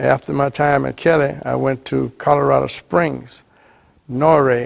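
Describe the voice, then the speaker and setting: Very slowly, a man speaks with a Southern US accent. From US South, Louisiana. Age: 80s+. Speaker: retired Air Force veteran and Freemason. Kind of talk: personal testimony interview. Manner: halting.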